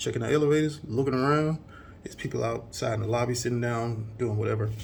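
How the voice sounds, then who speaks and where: The speaker is a man with an American accent, quiet and at a very fast pace. Audible room echo is present. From US South. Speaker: vlogger. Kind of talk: casual vlog talk.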